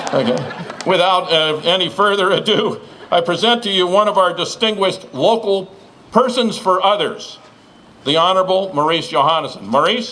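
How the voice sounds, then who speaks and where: Against audible room echo and noticeable background noise, a man projects a raised, high-pitched voice at a moderate pace, with ordinary pitch variation and very even loudness. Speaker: master of ceremonies. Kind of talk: formal introduction speech.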